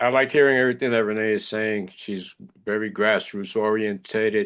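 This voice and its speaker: A man talks at a fairly quick pace in a plain, everyday voice, with fairly low pitch and fairly even intonation. The background is quiet. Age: 60s. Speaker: video call participant. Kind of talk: casual discussion.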